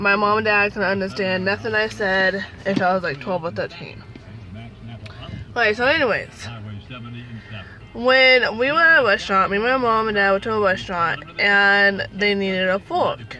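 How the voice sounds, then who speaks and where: There's music in the background as a woman talks at a medium pitch. She leaves long, frequent pauses. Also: moderate pace. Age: 30s. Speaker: vlogger. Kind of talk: storytelling. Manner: casual, filler-heavy.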